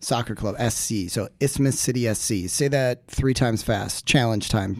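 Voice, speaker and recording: At a moderate pace, a man with an unremarkable speaking voice and ordinary pitch variation is heard in a very clean recording with a silent background. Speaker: supporters group president. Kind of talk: casual chat. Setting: studio.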